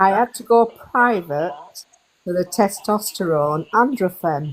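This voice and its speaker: A woman with a British accent speaks at a very slow pace. Her medium-pitched voice has lively intonation. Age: 60s. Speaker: community member asking question. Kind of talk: casual chat.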